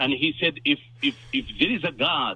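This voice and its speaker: Vocal fry colors this man's fairly slow delivery. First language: not English. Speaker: caller. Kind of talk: call-in debate. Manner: halting.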